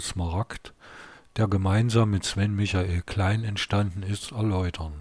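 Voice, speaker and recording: This man's voice is fairly low and somewhat breathy, with fairly even intonation. He talks at a very slow pace. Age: 50s. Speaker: podcaster and author, retired architect. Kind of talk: podcast introduction; reading aloud from his novel.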